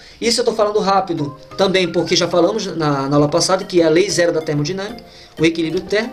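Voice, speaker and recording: Someone talks at a very fast pace, with noticeable background noise behind the voice. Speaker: physics teacher. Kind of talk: lecture.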